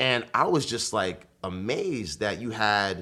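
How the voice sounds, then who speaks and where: A man speaks with a New York accent at a fairly low pitch with ordinary pitch variation. The recording is very clean, with a silent background. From Bronx, New York. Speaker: marketing executive and party promoter. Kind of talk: casual interview chat. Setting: studio.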